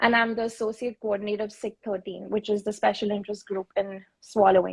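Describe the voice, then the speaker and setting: The voice is somewhat breathy, with fairly even intonation. The sound is dry and close, with no echo. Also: woman. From India (Mumbai). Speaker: speech-language pathologist, panelist. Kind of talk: panel discussion on live stream. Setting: Instagram live video stream.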